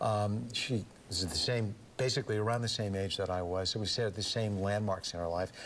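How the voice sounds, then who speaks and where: A man with a plain, everyday voice, fairly low pitch, fairly even intonation, a fairly quick pace and very even loudness. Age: 60s. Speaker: former press secretary, singer and lecturer. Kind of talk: radio interview.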